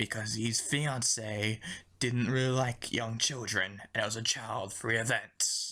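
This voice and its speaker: Putting on a character voice at a medium pitch, a man speaks at a moderate pace. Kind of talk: parody news report. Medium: comedy sketch. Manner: casual, breezy.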